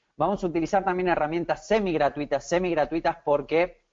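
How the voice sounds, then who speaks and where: A man speaks with an Argentine accent. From Argentina, Buenos Aires. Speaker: SEO consultant. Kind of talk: webinar presentation. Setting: online webinar. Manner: hesitant, many fillers.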